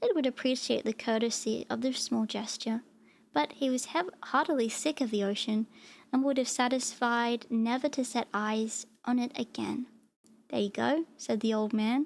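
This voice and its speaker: Soft-spoken and high-pitched, a woman talks at a moderate pace with ordinary pitch variation. Her loudness remains very even. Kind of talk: storybook narration read aloud.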